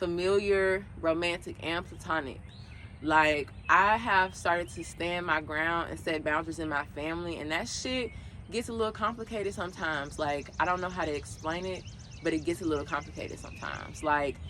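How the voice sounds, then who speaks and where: A woman's bright, sharp voice at a fairly low pitch, with ordinary pitch variation and a fairly quick pace. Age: 20s. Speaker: podcast host. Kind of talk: casual monologue. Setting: outdoors. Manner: casual, conversational.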